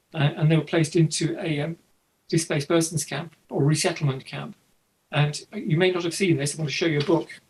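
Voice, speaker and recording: A man in an English Midlands accent speaks at a fairly quick pace with fairly even intonation. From East Midlands, England (Leicestershire). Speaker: photographer. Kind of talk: interview. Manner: halting.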